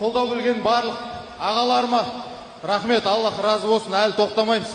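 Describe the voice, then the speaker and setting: A man talks at a moderate pace, with audible room echo and noticeable noise in the background. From Kazakhstan. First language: Kazakh (speaking Russian). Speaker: martial arts fighter. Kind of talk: post-fight interview.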